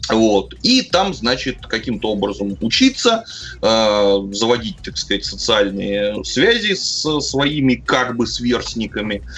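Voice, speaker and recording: A man talks very slowly while noticeable background noise carries on behind him. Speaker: podcast co-host. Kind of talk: casual chat.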